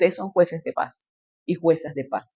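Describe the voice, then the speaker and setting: A woman with a normal speaking voice talks at a moderate pace in a fairly low pitch. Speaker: politician and lecturer. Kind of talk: lecture.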